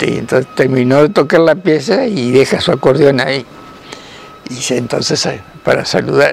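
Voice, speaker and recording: Against music in the background, a man with a fairly high pitch and ordinary pitch variation talks at a moderate pace with long, frequent pauses, the sound dry with no echo. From Argentina. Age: 80s+. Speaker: grandfather telling stories. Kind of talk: storytelling of personal anecdotes. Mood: cheerful, amused. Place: garden.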